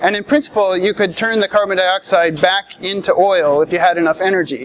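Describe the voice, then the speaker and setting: The man has a high pitch, ordinary pitch variation and a moderate pace. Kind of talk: tutorial. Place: hall.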